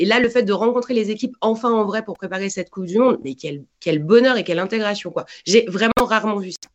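A normal speaking voice from a woman, fairly high, fairly quick and with hardly any pauses, featuring ordinary pitch variation and big swings in loudness. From France. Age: 40s. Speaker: football commentator. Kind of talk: casual interview.

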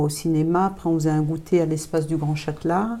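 A woman talks at a fairly quick pace. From France, Thonon-les-Bains (Haute-Savoie). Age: 50s. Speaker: community association founder. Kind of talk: interview. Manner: hesitant, many fillers.

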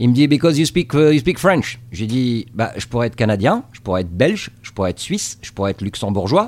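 A man speaks at medium pitch. His voice makes very wide pitch swings. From Tunisia. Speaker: TV correspondent. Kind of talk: interview. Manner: halting.

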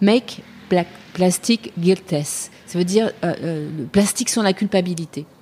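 A woman talks at a very slow pace. Noticeable background noise can be heard. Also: medium pitch for a woman, ordinary pitch variation. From Paris, France. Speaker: podcast host. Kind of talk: interview.

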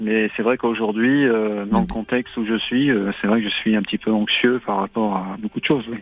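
This man has a medium pitch and fairly even intonation. He speaks at a moderate pace. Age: 50s. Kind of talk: phone-in call to a psychic radio show. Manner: halting, many hesitations.

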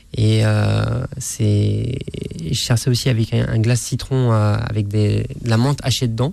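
Very slow man's voice at very even loudness, with noticeable background noise. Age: 30s. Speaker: chef. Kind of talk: radio interview. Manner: halting.

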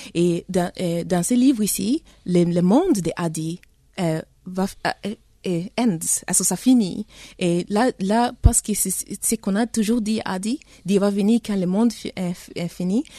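The pace is very slow, and the tone is dark and mellow. Pitch varies in an ordinary way, with a dry, close sound and no echo. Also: woman, medium pitch for a woman. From Tanzania, Congolese family. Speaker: novelist. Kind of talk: interview. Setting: studio. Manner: halting.

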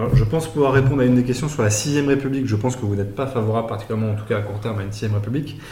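Over noticeable background noise, a man talks at a very fast pace in a medium pitch with fairly even intonation. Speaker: podcast host. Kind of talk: live-streamed political interview.

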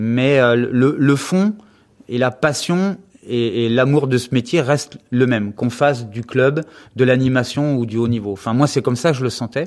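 In a normal speaking voice, a man talks at a fairly slow pace, his medium pitch showing ordinary variation. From western France (Anjou). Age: 50s. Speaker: gymnastics coach. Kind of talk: interview. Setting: office at the gym.

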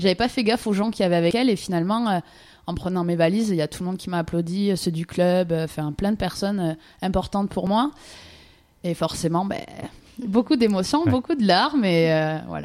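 Fairly quick speech with long, frequent pauses and ordinary pitch variation. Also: woman, medium pitch for a woman. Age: 20s. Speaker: ju-jitsu champion and judo coach. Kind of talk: radio interview.

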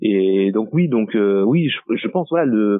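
A man at medium pitch with lively intonation. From French Guiana and Martinique. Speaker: photographer. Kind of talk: interview. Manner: halting.

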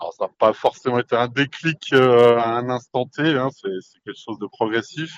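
Moderate pace and ordinary pitch variation from a man at a medium pitch. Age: 40s. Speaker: franchise owner. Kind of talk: interview. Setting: podcast microphone. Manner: halting, many fillers and repetitions.

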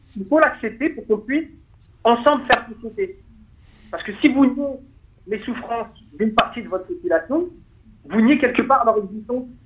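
A man at an extremely high pitch, lively in intonation, moderate in pace, with big swings in loudness and long, frequent pauses. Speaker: petition activist. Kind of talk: radio interview.

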